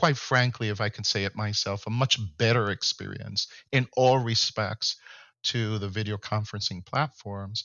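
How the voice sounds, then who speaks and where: Talking at a moderate pace with a normal speaking voice, a man uses a fairly low pitch and fairly even intonation. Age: 60s. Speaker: tech company founder and CEO. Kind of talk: podcast interview.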